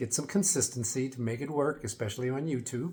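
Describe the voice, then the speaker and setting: A man with an American accent speaks at a moderate pace and medium pitch. His voice is somewhat breathy, with ordinary pitch variation. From United States. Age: 60s. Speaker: fitness and wellness vlogger. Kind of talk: casual vlog talk to camera. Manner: conversational, with fillers.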